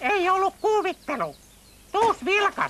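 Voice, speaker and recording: This is a put-on character voice. Its pitch is extremely high. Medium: fan dub. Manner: bossy, scornful.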